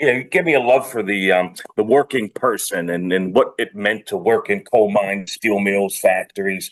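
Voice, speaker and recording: At a moderate pace, a man with fairly low pitch and a slight Pittsburgh accent speaks with ordinary pitch variation. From Pittsburgh, US. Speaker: industrial strategist. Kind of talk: podcast interview. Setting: video call.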